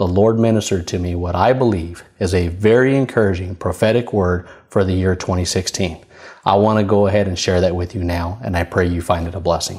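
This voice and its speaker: Against a quiet background, a man talks in a very deep, low pitch. His pace is fairly quick and his intonation fairly even. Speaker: minister / preacher. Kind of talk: prophetic spoken word, sermon delivery. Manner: conversational, friendly. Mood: warm, earnest. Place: studio. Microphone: lapel.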